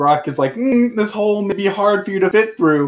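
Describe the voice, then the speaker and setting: A man puts on a character voice with a high pitch. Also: moderate pace. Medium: actual play. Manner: mutters, cryptic and greedy.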